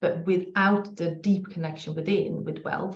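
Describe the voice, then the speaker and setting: A woman with a slight Swedish accent speaks at a fairly slow pace, her medium-pitched voice somewhat breathy and her intonation monotone and flat. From Sweden. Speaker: spiritual business coach. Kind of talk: podcast interview.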